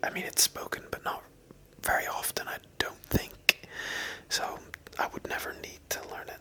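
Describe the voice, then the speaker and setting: A man whispers at a moderate pace with long, frequent pauses and big swings in loudness, over noticeable background noise. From Northern Ireland. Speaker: ASMR creator. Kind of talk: ASMR Q&A answers to camera. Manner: whispered, soft-spoken.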